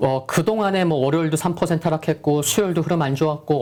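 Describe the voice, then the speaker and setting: There is noticeable background noise as the voice moves along at a fairly quick pace. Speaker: stock market analyst. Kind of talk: market commentary.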